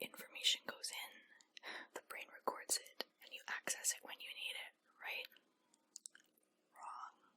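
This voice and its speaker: In a whisper, the speaker moves along fairly slowly, stopping often for long breaks. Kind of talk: whispered ASMR book reading for sleep. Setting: close-up microphone. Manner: whispered, quiet, relaxing.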